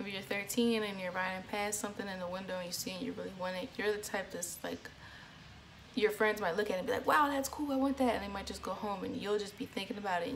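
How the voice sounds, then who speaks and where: Against noticeable background noise, a woman speaks at a medium pitch with ordinary pitch variation. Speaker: astrology vlogger. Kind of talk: casual vlog talk.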